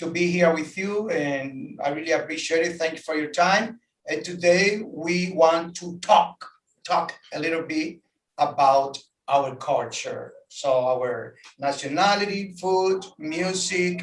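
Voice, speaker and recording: A man speaks in a Dominican accent at a very slow pace. His pitch is high. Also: ordinary pitch variation. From Dominican Republic. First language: Spanish. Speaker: tour guide. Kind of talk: casual chat. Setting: outdoors at the beach. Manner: animated.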